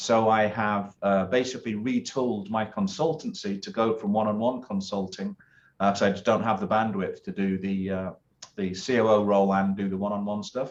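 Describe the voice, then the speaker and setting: Fairly quick and fairly even in intonation, a man talks with a British accent. His pitch is fairly low. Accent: British accent, noticeable. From UK. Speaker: business consultant and former naval officer. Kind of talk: interview. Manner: many filler words and hesitations.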